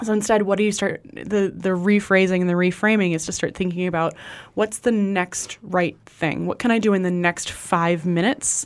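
A woman with an ordinary speaking voice, fairly even intonation and a moderate pace. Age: 30s. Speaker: pastor and author. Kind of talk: interview conversation.

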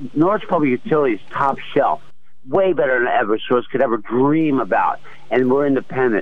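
A man with a normal speaking voice and fairly high pitch talks at a fairly quick pace, with ordinary pitch variation and very even loudness. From Philadelphia. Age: 60s. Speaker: retired Navy veteran, caller. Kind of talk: call-in radio conversation.

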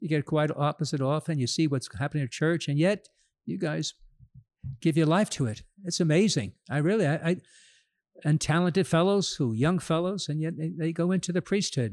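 Spoken at a fairly quick pace in a plain, everyday voice with an American accent, the clip has ordinary pitch variation and a dry, close sound with no echo on a very clean recording with a silent background. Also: man, fairly high pitch for a man. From New York, Queens. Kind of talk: casual interview. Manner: laughs often.

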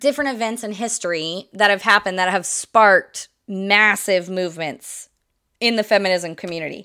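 Bright and sharp in tone, a woman's medium-pitched voice comes through in a very clean recording with a silent background. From US Midwest. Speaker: podcast host. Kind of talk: solo educational podcast monologue. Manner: casual, with frequent fillers and laughs.

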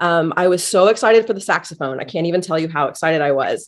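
A woman with an American accent talks at a fairly quick pace in a medium pitch. She has a plain, everyday voice with ordinary pitch variation. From Indiana, US Midwest. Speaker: music teacher, band director. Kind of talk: podcast interview.

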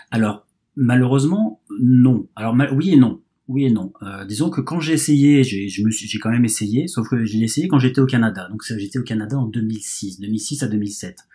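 At a moderate pace, a man speaks with ordinary pitch variation and a dark, mellow, somewhat breathy tone. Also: medium pitch for a man. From France. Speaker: baseball fan guest. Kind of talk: casual chat. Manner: halting.

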